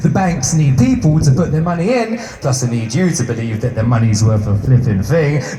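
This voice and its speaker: Over music in the background, a man speaks at a medium pitch and a moderate pace. His pitch swings very widely. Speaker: spoken word poet; activist. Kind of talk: spoken word poetry performance. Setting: live performance venue.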